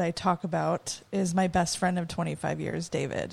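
A woman's medium-pitched voice with an American accent on a very clean recording with a silent background. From Arizona, Phoenix and Prescott. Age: 40s. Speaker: former bank worker. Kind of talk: casual interview.

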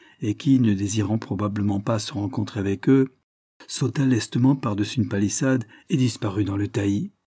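A natural reading voice shifts in pitch in an ordinary way, with a quiet background behind it.

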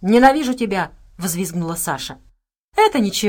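Someone is reading aloud in a natural voice. The intonation is lively, and the background is quiet.

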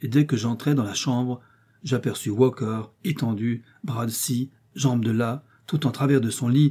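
Reading in a natural voice

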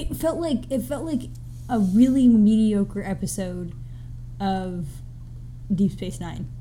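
A woman with an American accent talks at a fairly slow pace, leaving long, frequent pauses. Room echo is audible. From US South. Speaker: podcast co-host. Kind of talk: casual chat.

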